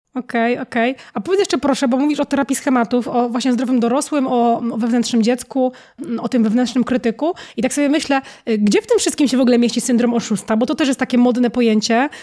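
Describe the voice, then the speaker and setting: The voice has a dark, mellow tone with ordinary pitch variation. Its loudness stays very even at a very fast pace. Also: woman, high pitch for a woman. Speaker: podcast host. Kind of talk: interview.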